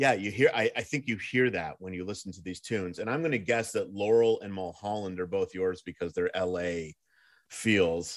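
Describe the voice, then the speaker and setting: At a moderate pace, a man with a normal speaking voice and fairly low pitch shows big swings in loudness in a very clean recording with a silent background. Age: 40s. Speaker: podcast host. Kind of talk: casual chat.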